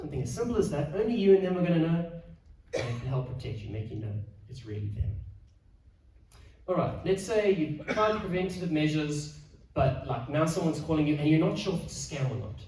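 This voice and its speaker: Talking at a very fast pace with long, frequent pauses, a man uses a fairly high pitch and very wide pitch swings amid audible room echo. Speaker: financial adviser. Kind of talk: presentation.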